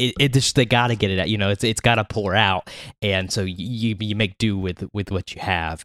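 Fairly quick and fairly even in intonation, a man speaks with a fairly low pitch. The very clean recording has a silent background and a dry, close sound with no echo. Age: 30s. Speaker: music podcast co-host. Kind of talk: casual chat. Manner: halting, frequent repetitions.

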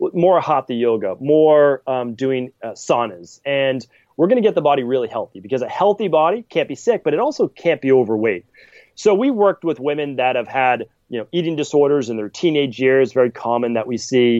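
A man with a normal speaking voice talks at a fairly quick pace, his medium pitch moving in lively intonation over a quiet background. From Massachusetts, Boston area (Medford). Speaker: naturopathic and functional medicine practitioner. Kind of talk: podcast interview.

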